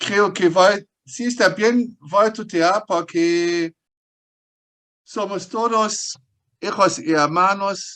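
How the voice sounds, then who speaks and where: A man's high voice in a strong German accent, very slow, with a bright, sharp tone. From Germany. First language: German (speaking Spanish). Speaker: paleontologist. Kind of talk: interview. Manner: halting.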